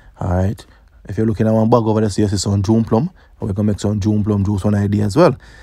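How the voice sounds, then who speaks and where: The speaker has a Jamaican accent. The intonation stays fairly even. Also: man. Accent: Jamaican Patois. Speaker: cooking youtuber. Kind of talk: cooking tutorial voiceover. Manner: casual.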